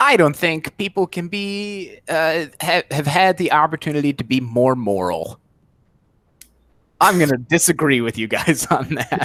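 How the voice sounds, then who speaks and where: At a fairly slow pace, a man with a fairly high pitch and an ordinary speaking voice uses lively intonation, the sound dry and close with no echo. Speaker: discussion group member. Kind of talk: casual chat.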